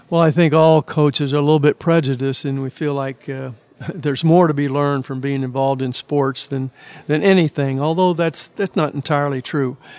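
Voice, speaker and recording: Fairly quick speech in a Midwestern US accent, with fairly even intonation. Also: man, fairly high pitch for a man. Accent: US Midwest. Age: 80s+. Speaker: retired basketball coach. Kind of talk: interview. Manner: hesitant with many fillers.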